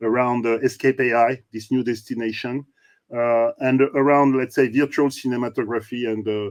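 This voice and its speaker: With a French accent, a man is heard in a dry, close sound with no echo and a quiet background. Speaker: show host. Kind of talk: interview.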